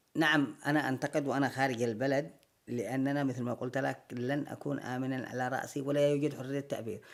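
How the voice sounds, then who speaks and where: This man's voice sits at a medium pitch, with a monotone, flat intonation. He keeps a moderate pace. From Yemen. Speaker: actor. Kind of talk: interview answer.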